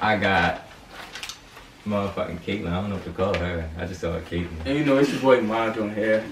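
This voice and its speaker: Light background noise and audible room echo surround a man speaking at a fairly quick pace. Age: 20s. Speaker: YouTuber. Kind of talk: casual chat. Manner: animated. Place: home room. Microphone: camera far.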